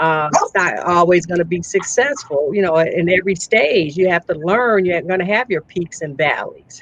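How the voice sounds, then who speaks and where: With hardly any pauses, the speaker talks in a Southern US accent over noticeable background noise. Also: woman, fairly low pitch for a woman, ordinary pitch variation, moderate pace. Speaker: entrepreneur, speaker and author. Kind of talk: interview.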